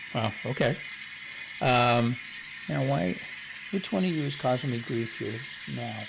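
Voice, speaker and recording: A man with a medium-pitched voice and lively intonation speaks fairly slowly, with long, frequent pauses. Room echo is audible and background noise is noticeable. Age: 70s. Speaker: model railroad hobbyist streamer. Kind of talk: casual chat. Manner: halting.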